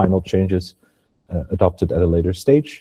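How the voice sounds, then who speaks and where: A dark, mellow, somewhat breathy voice with a non-native accent moves at a fairly quick pace, the sound dry and close with no echo. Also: man. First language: not English. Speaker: webinar presenter, carbon regulation consultant. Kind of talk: webinar presentation. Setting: online webinar.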